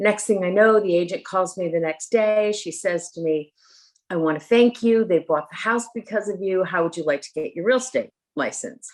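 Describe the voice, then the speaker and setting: An unremarkable speaking voice with an American accent, at a moderate pace with ordinary pitch variation. The background is quiet. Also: woman. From US Northeast, Connecticut. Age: 60s. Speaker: leadership coach and real estate agent. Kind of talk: interview.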